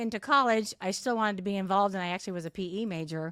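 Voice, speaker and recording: Talking at a very fast pace, a woman uses lively intonation in a Californian accent. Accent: General American (Californian). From Southern California (Santa Ana). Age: 60s. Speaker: masters athlete, retired teacher. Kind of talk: interview conversation.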